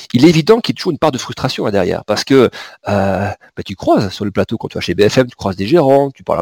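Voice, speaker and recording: The speech moves at a fairly quick pace. Its intonation is lively. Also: man, dry, close sound with no echo. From southern France, Pyrenees. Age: 40s. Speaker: market analyst. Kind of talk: interview. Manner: halting, many repetitions and fillers.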